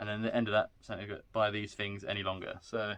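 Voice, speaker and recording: Speaking with monotone, flat intonation, a man has a fairly low pitch. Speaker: paranormal investigator. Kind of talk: casual chat. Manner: loud.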